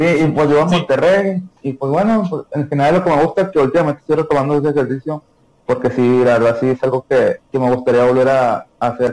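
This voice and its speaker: This man has a fairly high pitch with ordinary pitch variation. He speaks at a fairly quick pace. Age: 20s. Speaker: former basketball player. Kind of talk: casual interview.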